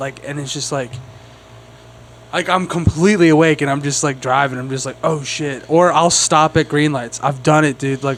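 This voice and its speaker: Mumbling at a fairly quick pace, a man speaks at a fairly high pitch. Noticeable background noise can be heard. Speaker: comedy podcast host. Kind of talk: casual chat. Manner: mumbling, slurred enunciation; animated, filler-heavy.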